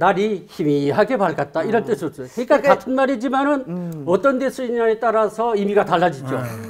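Over light background noise, a man talks in a high voice with very wide pitch swings. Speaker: retired professor of Jeju language. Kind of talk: explaining words on a talk show. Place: studio. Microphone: lapel.

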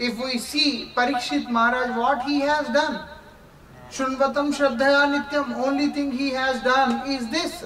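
A man's extremely high voice in an Indian accent, very slow and monotone, with flat intonation over noticeable background noise. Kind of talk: spiritual lecture. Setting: lecture with consecutive Russian interpretation.

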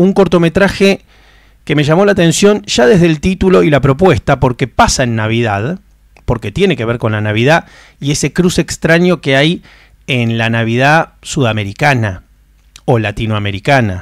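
With very wide pitch swings, a man talks over a quiet background in a dry recording that has no echo. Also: moderate pace. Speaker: film podcast host. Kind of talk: casual monologue. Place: home room. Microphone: studio mic.

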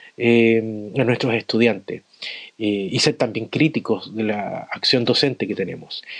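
In a Chilean accent, a man talks at a fairly slow pace and medium pitch. His intonation is fairly even, and the sound is dry and close with no echo. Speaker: adult education teacher. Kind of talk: recorded voice message.

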